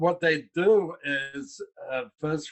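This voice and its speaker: Speaking very slowly, a man uses ordinary pitch variation. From London, England. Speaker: investor relations executive. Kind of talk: interview.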